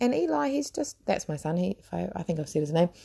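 A woman with a New Zealand accent, a dark, mellow tone, very wide pitch swings and a fairly quick pace. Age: 30s. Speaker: podcast host. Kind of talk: casual monologue. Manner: halting.

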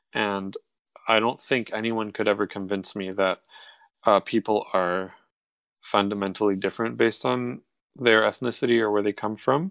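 With an American accent and fairly low pitch, a man talks at a moderate pace with ordinary pitch variation and long, frequent pauses. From Ohio and Tuscany, Italy. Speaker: violinist. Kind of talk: casual chat. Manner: halting, many fillers.

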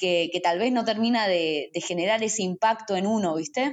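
A woman talks at a moderate speed, her pitch moving in an ordinary way. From Argentina, Salta. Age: 20s. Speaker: singer-songwriter. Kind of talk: interview. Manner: halting, many repetitions.

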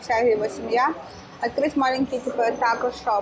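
Over noticeable background noise, a woman with a high pitch talks at a moderate pace with fairly even intonation. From Russia, Kyrgyz family. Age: 30s. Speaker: vegan cafe owner. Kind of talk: interview. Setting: in her cafe.

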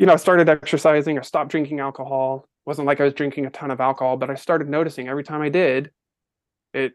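Against a quiet background, a man with a fairly high voice speaks in a flat monotone. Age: 40s. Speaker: podcast guest sharing personal story. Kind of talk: testimony.

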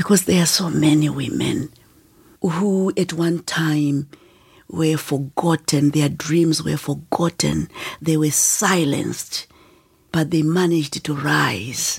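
With vocal fry and fairly even intonation, a woman speaks very slowly in a very deep, low pitch. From Zimbabwe, rural north. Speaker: author and women's education advocate. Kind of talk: interview storytelling.

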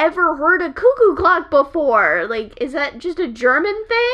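An animated woman with an American accent speaks in a raised, projected voice at an extremely high pitch, her pitch swinging very widely. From California. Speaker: podcast co-host. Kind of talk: casual chat.

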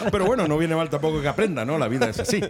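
Noticeable background noise surrounds a man talking at a very fast pace. His fairly high pitch swings very widely. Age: 40s. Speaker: radio presenter. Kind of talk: casual radio chat.

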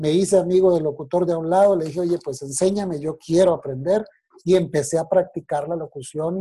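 At a fairly quick pace, a man speaks in a high voice with a dark, mellow tone. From Colombia, Bogotá. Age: 40s. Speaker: announcer. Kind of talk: interview.

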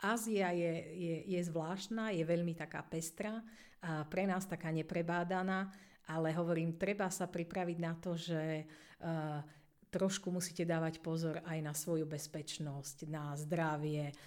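An ordinary speaking voice from a woman, fairly low in pitch, at a fairly slow pace with fairly even intonation. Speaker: English teacher, deputy head. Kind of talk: interview.

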